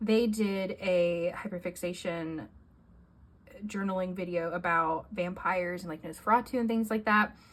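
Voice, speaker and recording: At a moderate pace, a woman with an unremarkable speaking voice talks with ordinary pitch variation. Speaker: journaling youtuber. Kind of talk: casual show-and-tell vlog.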